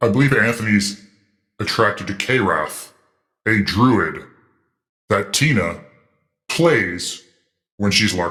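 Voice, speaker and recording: Putting on a character voice, a man speaks at a fairly slow pace and fairly low pitch, with long, frequent pauses. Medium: comedy sketch. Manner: deadpan, literal.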